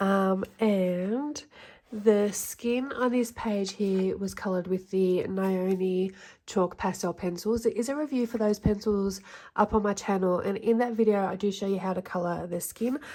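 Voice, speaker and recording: A woman talks at a fairly slow pace with a dark, mellow tone and a medium pitch. Her intonation is fairly even, and the recording is very clean with a silent background. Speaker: colouring hobby YouTuber. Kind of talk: casual video recap. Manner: heavy breathing, sniffing.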